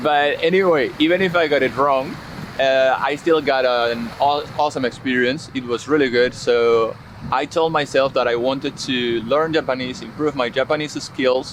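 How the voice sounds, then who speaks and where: A man talks with a Spanish accent and fairly even intonation. His loudness stays very even over noticeable background noise. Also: medium pitch for a man, moderate pace. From Spain. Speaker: English teacher. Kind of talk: interview.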